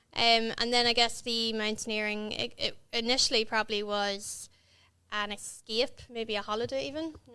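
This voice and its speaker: Bright and sharp in tone, this voice with a Northern Irish accent moves at a moderate pace with fairly even intonation, on a very clean recording with a silent background. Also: woman, fairly high pitch for a woman. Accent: south Armagh Northern Irish. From Northern Ireland, County Armagh. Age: 30s. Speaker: dentist and mountaineer. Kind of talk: podcast interview.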